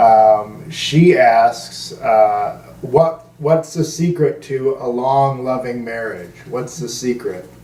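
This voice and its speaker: Against noticeable background noise, a man speaks very slowly with hardly any pauses. His pitch is medium, with ordinary pitch variation. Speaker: podcast host; comedian. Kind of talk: casual podcast talk.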